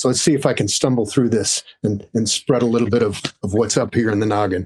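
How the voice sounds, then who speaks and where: A man with medium pitch uses an ordinary speaking voice, moving at a fairly quick pace with fairly even intonation and very even loudness. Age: 60s. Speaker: sound designer and audio educator. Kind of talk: podcast interview. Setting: video call.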